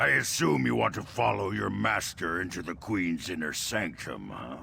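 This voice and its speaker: Over clear background noise, a raspy, put-on character voice comes through. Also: man. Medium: video game. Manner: condescending.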